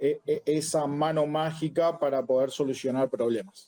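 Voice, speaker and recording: A man's dark, mellow voice, fairly high in pitch, at a fairly slow pace with ordinary pitch variation. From Argentina. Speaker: Afro-Brazilian religion priest. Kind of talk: interview conversation.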